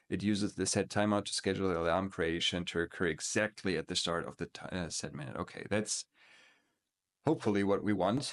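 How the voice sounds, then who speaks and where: Against a quiet background, a man with a non-native accent and a fairly low pitch speaks with ordinary pitch variation in a dry, close sound with no echo. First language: not English. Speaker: coding tutorial youtuber. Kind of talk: screen-recorded coding tutorial. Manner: hesitant, many filler words.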